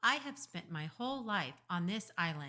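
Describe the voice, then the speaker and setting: A put-on character voice at a middle pitch, moving at a moderate pace with very wide pitch swings. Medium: read story. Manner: flat, precise, unemotional.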